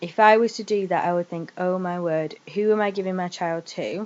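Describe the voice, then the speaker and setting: A woman with a northern English accent, medium in pitch and fairly slow in pace. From northern England. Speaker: vlogger. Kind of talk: personal testimony vlog. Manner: casual, hesitant with fillers.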